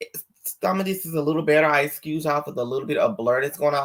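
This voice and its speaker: A man's animated voice at fairly high pitch. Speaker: YouTube celebrity gossip host. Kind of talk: live stream commentary. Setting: home video live stream with green screen. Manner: loud.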